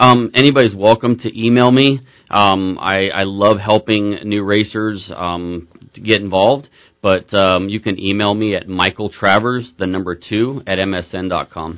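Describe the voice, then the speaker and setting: Speaking fairly slowly, a man with an unremarkable speaking voice talks at a fairly low pitch. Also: fairly even intonation. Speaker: Spec Miata racer. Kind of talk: radio interview, calm explanation. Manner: relaxed, measured.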